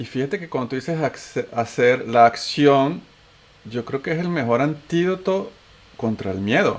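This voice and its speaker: Speaking with a Venezuelan accent, a man with a fairly high voice goes at a fairly slow pace with lively intonation. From Venezuela (raised), born in Antioquia, Colombia. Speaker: podcast host. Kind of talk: casual chat.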